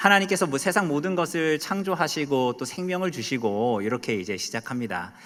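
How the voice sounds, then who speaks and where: Man at a fairly high pitch in a Gangwon accent, very wide pitch swings, moderate pace, very clean recording with a silent background. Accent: Gangneung dialect intonation. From Korea, Gangneung (Gangwon). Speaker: pastor. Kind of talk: sermon. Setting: church. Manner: loud, emphatic; sounds angry.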